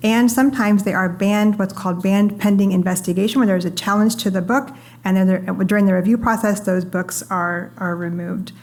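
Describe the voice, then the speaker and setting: With fairly even intonation and a medium pitch, a woman speaks at a fairly quick pace amid audible room echo. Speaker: panelist from a free expression organization; parent. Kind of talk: panel discussion. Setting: stage with audience. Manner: soft-spoken.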